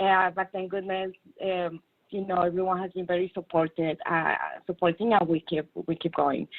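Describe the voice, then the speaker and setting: A woman speaks at a moderate pace with a strong non-native accent. Her intonation stays fairly even. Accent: strong foreign. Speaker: technology consultant. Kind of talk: panel discussion. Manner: hesitant, many fillers.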